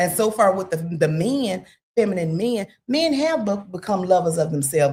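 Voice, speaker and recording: A woman with a medium-pitched, somewhat breathy voice talks at a moderate pace, her pitch swinging very widely. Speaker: podcast guest. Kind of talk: casual chat.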